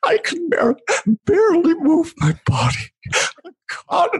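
Putting on a character voice, a woman talks slowly at an extremely high pitch, her voice swinging very widely up and down.

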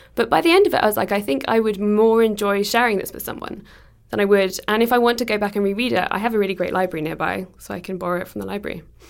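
Speaking at a very fast pace, a woman with an English accent has a medium pitch and ordinary pitch variation. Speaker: podcast producer. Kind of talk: casual chat.

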